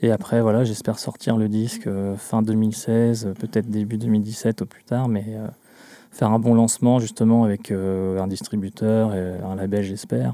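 Over a very clean recording with a silent background, a man speaks at a fairly slow pace in a fairly low pitch with a dark, mellow tone and monotone, flat intonation. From central Brittany. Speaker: folk-pop musician. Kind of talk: radio interview. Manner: hesitant, many fillers.

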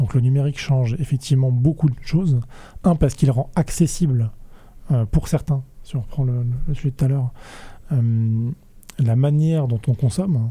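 Dark and mellow, a man's somewhat breathy voice shows ordinary pitch variation. Long, frequent pauses break up his speech. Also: medium pitch for a man, moderate pace. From France, Rennes. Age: 30s. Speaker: food innovation network manager. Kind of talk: casual interview.

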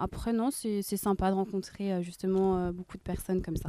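A woman speaks in a flat monotone at a medium pitch, her tone dark and mellow against a quiet background. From Rennes, France. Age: 20s. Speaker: nursing assistant. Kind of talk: casual interview. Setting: outdoors in a park. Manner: halting.

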